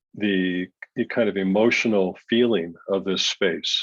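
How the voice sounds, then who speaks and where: A man with a fairly low pitch and fairly even intonation has a plain, everyday voice, captured dry and close with no echo. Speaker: artist giving a demo to a design class. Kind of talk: software tutorial demo.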